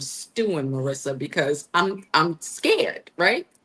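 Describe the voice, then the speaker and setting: A woman's bright, sharp voice, animated in tone, with lively intonation. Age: 60s. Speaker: traveler and coliving community founder. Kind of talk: interview conversation. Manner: animated storytelling.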